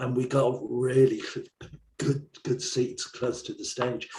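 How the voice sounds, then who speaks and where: Speaking at a fairly slow pace, a man has an English accent. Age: 60s. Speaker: songwriter and rock school owner. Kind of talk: interview.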